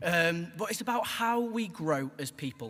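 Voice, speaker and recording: A man's high-pitched voice with lively intonation, in a Stoke accent. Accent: Stoke (Potteries). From Stoke-on-Trent, England. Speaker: graduating student. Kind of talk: graduation speech.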